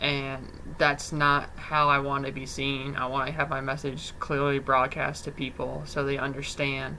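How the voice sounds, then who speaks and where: Amid audible room echo, a man talks at a moderate pace with hardly any pauses, his fairly high pitch delivered in a monotone, flat intonation. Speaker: student doing mock job interview. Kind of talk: mock job interview.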